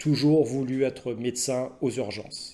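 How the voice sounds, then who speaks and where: A man with a medium pitch speaks at a very slow pace. His intonation is monotone and flat. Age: 50s. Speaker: emergency doctor. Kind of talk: personal testimony to camera. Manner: hesitant, many filler sounds.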